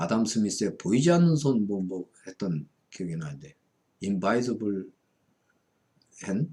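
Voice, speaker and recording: This man's voice has a dark, mellow tone and very wide pitch swings. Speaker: Buddhist monk and fortune-telling lecturer. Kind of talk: lecture.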